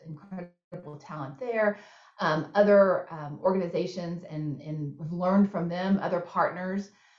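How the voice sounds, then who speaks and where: With a Texan accent, a woman talks at a medium pitch and with ordinary pitch variation. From Texas. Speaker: nonprofit CEO. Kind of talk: interview Q&A.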